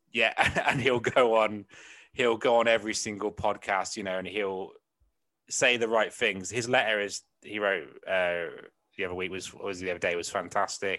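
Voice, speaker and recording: In a West Country accent, a man speaks with fairly low pitch at a moderate pace. His intonation stays fairly even over a quiet background. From England, West Country. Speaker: comedian and podcast host. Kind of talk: casual chat.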